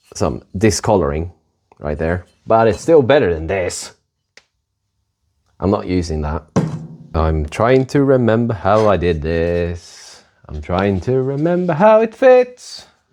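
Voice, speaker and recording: With music in the background, a man at a fairly low pitch talks at a fairly slow pace, his pitch swinging very widely between long, frequent pauses. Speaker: car restoration hobbyist. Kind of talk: workshop tutorial. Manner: quieter than usual, not yelling. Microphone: new microphone.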